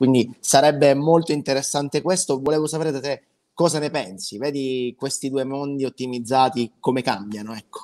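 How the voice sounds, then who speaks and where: At a moderate pace, a man with a dark, mellow tone talks at a fairly high pitch with ordinary pitch variation. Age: 20s. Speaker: web marketing consultant, former musical performer; guest. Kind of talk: interview, pitch. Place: home room.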